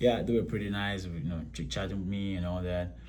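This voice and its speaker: A speaker with a Ghanaian accent is heard with audible room echo. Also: man. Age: 30s. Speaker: vlogger, military recruit. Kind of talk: casual vlog. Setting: hotel room. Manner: halting, many fillers.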